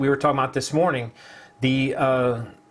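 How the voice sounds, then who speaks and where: Noticeable background noise sits behind the voice. A man speaks at a fairly high pitch. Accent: American. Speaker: online marketing livestream host. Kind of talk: casual live-stream chat.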